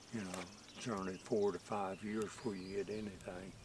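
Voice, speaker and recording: A man with an Appalachian accent talks at a moderate pace. His fairly low voice stays monotone and flat. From West Virginia, Rainelle area. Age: 80s+. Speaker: orchard planter, landowner. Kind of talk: casual interview. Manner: halting.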